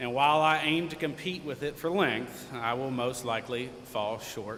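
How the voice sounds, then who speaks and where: The man's voice shows ordinary pitch variation, with audible room echo in the recording. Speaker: commencement speaker, alumnus. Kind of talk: commencement speech. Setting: stage with audience. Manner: loud; light-hearted, informal.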